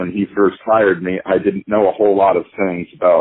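A man with an American accent and an unremarkable speaking voice talks at a moderate pace in a fairly low pitch. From US Midwest, Kansas City. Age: 60s. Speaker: jazz pianist. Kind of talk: interview.

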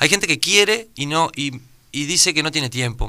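On a very clean recording with a silent background, a man speaks at a moderate pace with a fairly high pitch and a bright, sharp tone. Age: 30s. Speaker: student and digital entrepreneur. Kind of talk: radio interview.

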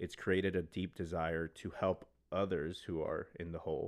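A man speaks in a monotone, flat intonation with a very deep, low pitch. The background is quiet. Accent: American. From Texas, El Paso. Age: 30s. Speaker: entrepreneur. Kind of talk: testimony.

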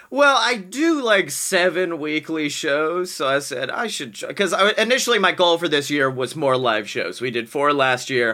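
A man with an American accent talks with hardly any pauses and a bright, sharp tone. His pitch is fairly high, with very wide pitch swings. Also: moderate pace. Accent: slight Southern accent, shifting. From Alabama, US South. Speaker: podcast guest, performer. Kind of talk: casual improv chat.

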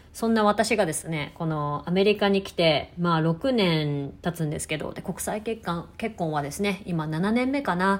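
A woman with an unremarkable speaking voice. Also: very clean recording, silent background. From Japan, Tokyo. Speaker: podcast host and ballet studio owner. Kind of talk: casual monologue.

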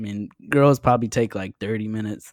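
A man with an unremarkable speaking voice talks at a medium pitch and moderate pace, with ordinary pitch variation. The sound is dry and close with no echo, in a very clean recording with a silent background. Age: 20s. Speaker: podcaster and videographer. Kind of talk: casual chat.

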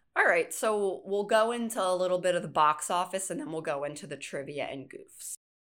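This woman has a normal speaking voice at medium pitch, moving at a fairly quick pace with hardly any pauses, lively intonation and big swings in loudness. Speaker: podcast host. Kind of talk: casual chat.

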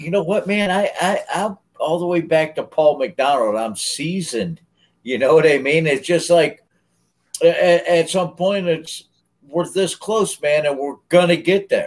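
A fairly slow delivery with an American accent. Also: man, high pitch for a man, ordinary pitch variation. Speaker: podcast co-host. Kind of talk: casual chat.

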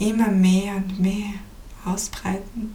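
A woman at medium pitch speaks very slowly in a soothing tone, her intonation flat and monotone, with noticeable background noise. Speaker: meditation guide and podcast host. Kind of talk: guided meditation. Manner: slow, soft, soothing, with long pauses; calm, gentle, warm, tranquil pacing.

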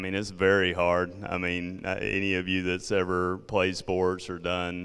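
In a Southern accent, a man speaks with a very deep, low pitch and monotone, flat intonation. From South Georgia, US South. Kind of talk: talk to parents group.

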